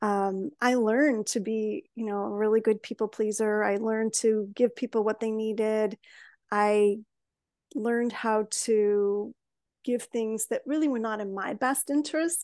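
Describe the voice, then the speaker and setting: A woman with a Chicago accent speaks at a fairly slow pace, her pitch fairly high. Her intonation stays fairly even against a quiet background. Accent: Chicago American English. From US Midwest, Chicago. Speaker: wellness coach. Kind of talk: interview.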